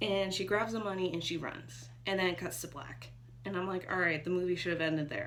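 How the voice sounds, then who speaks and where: Audible room echo surrounds the recording. A woman speaks at a moderate pace. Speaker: movie reviewer. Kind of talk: casual video review. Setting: home bedroom.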